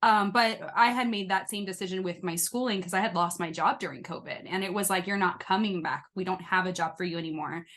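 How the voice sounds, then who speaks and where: Speaking at a very fast pace, a woman with an American accent keeps her intonation fairly even. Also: medium pitch for a woman. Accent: shifts depending on company. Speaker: podcast host, former foster youth. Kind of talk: casual interview chat.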